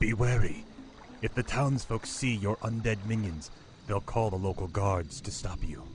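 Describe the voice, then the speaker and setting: A man puts on a character voice at a fairly low pitch, with clear background noise behind him. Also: moderate pace. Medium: video game. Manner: servile, sinister.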